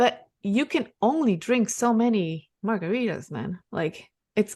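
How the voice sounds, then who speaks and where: A woman with a fairly high pitch and a dark, mellow tone speaks at a fairly slow pace with lively intonation. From Ecuador. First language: Spanish. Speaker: real estate investor. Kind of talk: podcast interview.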